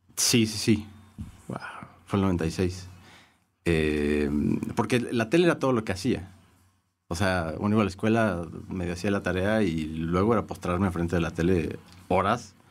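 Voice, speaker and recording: Very deep and low, a man's voice moves at a fairly slow pace with ordinary pitch variation. Long, frequent pauses break up his speech. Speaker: music writer. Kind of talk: casual chat.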